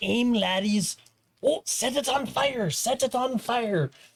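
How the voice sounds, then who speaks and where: In a put-on character voice, the speaker talks at a fairly high pitch and a fairly slow pace. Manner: shouting commands.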